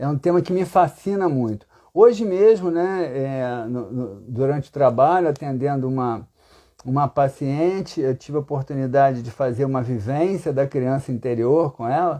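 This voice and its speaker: With a dark, mellow tone and a fairly high pitch, a man talks at a moderate pace with lively intonation over a quiet background. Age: 60s. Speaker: psychotherapist. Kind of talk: live talk answering questions. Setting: Instagram live stream. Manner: halting, repeats words.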